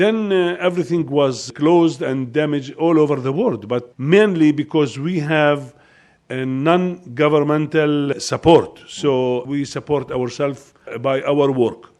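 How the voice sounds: A man speaks with fairly high pitch and ordinary pitch variation. His tone is slightly mellow.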